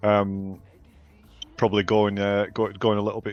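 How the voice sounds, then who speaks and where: With music in the background, a man in a northern English accent speaks at a fairly quick pace, his fairly low pitch held in a monotone, flat intonation. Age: 40s. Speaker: game co-founder. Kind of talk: interview. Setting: live stream. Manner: hesitant, many fillers.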